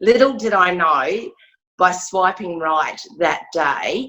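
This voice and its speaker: This woman has an Australian accent and a fairly low pitch that moves in very wide swings. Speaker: domestic violence survivor and charity founder. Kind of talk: testimony. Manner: frequent throat clearing.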